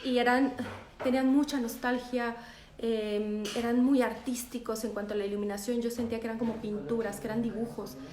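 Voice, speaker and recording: A woman's fairly high voice, monotone and flat, at a moderate pace amid audible room echo and noticeable background noise. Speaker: photographer. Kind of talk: live stream talk.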